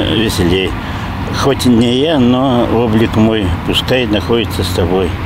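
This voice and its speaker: Amid noticeable background noise, a man speaks very slowly with ordinary pitch variation and a dry sound with no echo. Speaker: local resident interviewee. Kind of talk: reading an inscription aloud. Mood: wistful, emotional. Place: street. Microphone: handheld.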